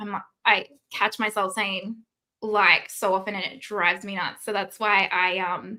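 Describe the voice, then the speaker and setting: In an Australian accent, a woman speaks at a medium pitch. Her tone is bright and sharp, and her intonation is monotone and flat. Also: fairly slow pace. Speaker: beauty YouTuber. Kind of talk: casual livestream chat. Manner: filler words.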